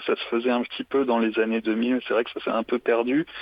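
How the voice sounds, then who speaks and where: A man of medium pitch keeps a moderate pace, his intonation monotone and flat. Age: 20s. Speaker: saxophonist. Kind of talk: interview. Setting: phone call.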